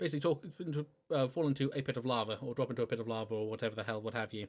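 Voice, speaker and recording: A man talks at a very fast pace, mumbling his words with ordinary pitch variation. The recording is very clean, with a silent background. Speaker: video game streamer. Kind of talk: gameplay commentary livestream. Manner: halting, self-correcting; mumbling to self.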